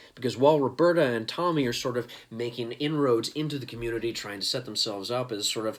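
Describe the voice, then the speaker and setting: The delivery has a slight Texan accent and a very fast pace. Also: man. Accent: slight Texan twang. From East Texas. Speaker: comics reviewer. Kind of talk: casual video review.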